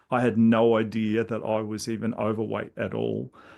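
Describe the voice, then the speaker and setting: At a moderate pace and medium pitch, a man with an Australian accent speaks in a monotone, flat intonation. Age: 60s. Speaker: intuitive coach. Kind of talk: podcast interview.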